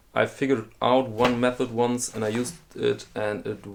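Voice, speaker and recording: A man in a German accent speaks fairly slowly with fairly even intonation. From Germany. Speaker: watch collector and video host. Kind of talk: casual explainer monologue. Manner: halting, with fillers and repetitions.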